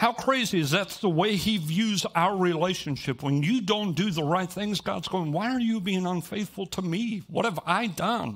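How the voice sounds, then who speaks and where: Speaking at a moderate pace with hardly any pauses, a man uses a high pitch and ordinary pitch variation. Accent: American. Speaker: pastor. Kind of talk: sermon. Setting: church. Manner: animated.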